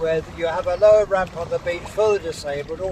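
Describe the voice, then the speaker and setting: A man speaks at a high pitch and moderate pace with fairly even intonation. Noticeable background noise runs behind him. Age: 80s+. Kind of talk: documentary monologue to camera. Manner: halting.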